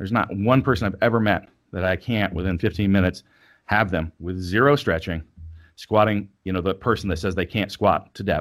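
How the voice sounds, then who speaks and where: In a very clean recording with a silent background, a man with a plain, everyday voice speaks at a moderate pace in a fairly low pitch with ordinary pitch variation. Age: 40s. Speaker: strength athlete and coach. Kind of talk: casual interview.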